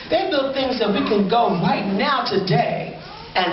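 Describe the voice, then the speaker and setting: A woman's fairly slow delivery comes through amid noticeable background noise. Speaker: storyteller; pastor. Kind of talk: live storytelling performance. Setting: live event, museum audience.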